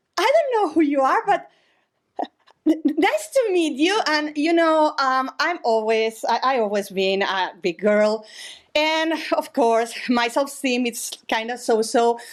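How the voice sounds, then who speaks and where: Speaking with a Spanish accent, a woman uses a high pitch with very wide swings, keeping her loudness very even at a fairly slow pace. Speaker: storyteller at live show. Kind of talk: live storytelling. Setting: stage with audience. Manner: halting.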